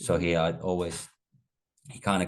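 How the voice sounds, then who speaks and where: A man's very deep, low voice at a moderate pace, with a Finnish accent and a quiet background. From Finland, Espoo. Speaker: former pro downhill mountain bike racer. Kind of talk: podcast interview. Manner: halting, many fillers.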